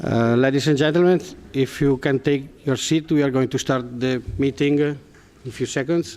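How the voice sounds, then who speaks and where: An Italian accent from a man at a fairly high pitch, moderate pace, very even loudness and fairly even intonation. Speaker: meeting chair, politician. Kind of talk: formal meeting opening.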